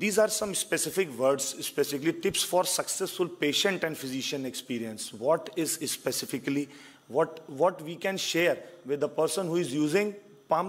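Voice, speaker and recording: Moderate pace from a male speaker, pitch varying in an ordinary way. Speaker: conference presenter. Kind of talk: lecture. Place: hall. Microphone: podium.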